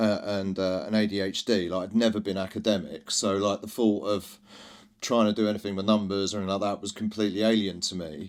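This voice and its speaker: A man with a London accent and fairly low pitch speaks at a very fast pace on a very clean recording with a silent background. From East London, England. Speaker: drinks brand founder. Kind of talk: podcast interview. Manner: loud; energetic.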